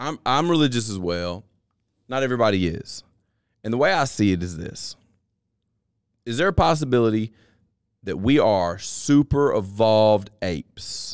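In a Southern US accent, a man talks at medium pitch and a moderate pace with lively intonation. He takes long, frequent pauses, and the recording is very clean with a silent background. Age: 30s. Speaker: podcast host. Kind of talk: casual chat.

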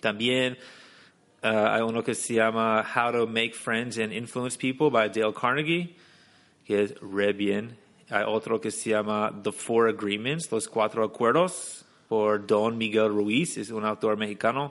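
A man with an English accent talks at a fairly slow pace, medium in pitch, with ordinary pitch variation. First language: English (speaking Spanish). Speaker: English teacher and entrepreneur. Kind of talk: interview.

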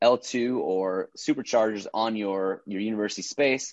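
Heard in a dry, close sound with no echo and a quiet background, an ordinary speaking voice with an American accent shows ordinary pitch variation. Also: man. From Minnesota. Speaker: entrepreneur and actor. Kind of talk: casual interview.

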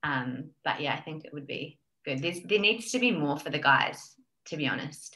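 A bright, sharp tone with an Australian accent, lively intonation, a moderate pace and big swings in loudness. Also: woman, very deep, low pitch for a woman. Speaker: health coach. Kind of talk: casual interview chat. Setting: remote call.

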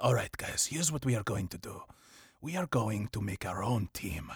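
In a very clean recording with a silent background, a man does a put-on character voice in a German accent, at medium pitch and a moderate pace, with very wide pitch swings. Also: dry, close sound with no echo. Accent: German-ish, unconvincing.

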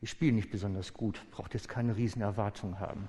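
The man's tone is dark and mellow. Fairly even intonation carries his words. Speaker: preacher. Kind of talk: sermon. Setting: church. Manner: loud and fervent when praying, voice raised in intense pleading; personal, open-hearted.

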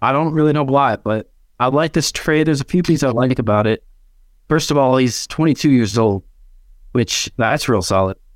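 A man with a normal speaking voice and medium pitch speaks at a moderate pace with ordinary pitch variation, in a dry, close sound with no echo and a very clean recording with a silent background. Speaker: football fan panelist. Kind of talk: casual chat.

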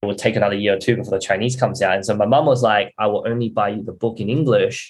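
This man talks at a fast pace with fairly even intonation. His pitch is fairly low.

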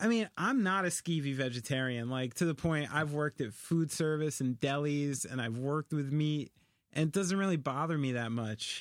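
The recording is very clean with a silent background. A man with a plain, everyday voice speaks at a fairly high pitch with ordinary variation and a moderate pace. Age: 30s. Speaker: drummer. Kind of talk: casual chat.

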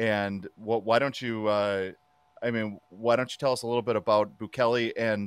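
The recording is dry and close with no echo as a man speaks at a moderate pace and medium pitch, with ordinary pitch variation. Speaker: radio host. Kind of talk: radio interview. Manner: hesitant, halting.

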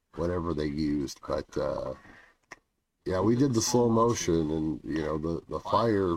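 A man's very deep, low voice at a moderate pace with lively intonation. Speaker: wrestling podcast host. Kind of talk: casual chat. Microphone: bad audio quality.

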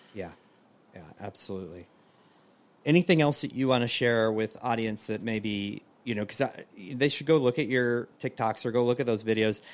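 Pausing often and at length, a man of medium pitch talks at a moderate pace with ordinary pitch variation on a very clean recording with a silent background. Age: 40s. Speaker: podcast host and former teacher. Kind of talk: casual interview.

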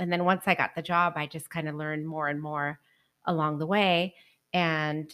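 In an American accent, a woman with a fairly low pitch and a plain, everyday voice speaks at a moderate pace, recorded very cleanly against a silent background. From Northern California. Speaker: tequila expert. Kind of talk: casual chat.

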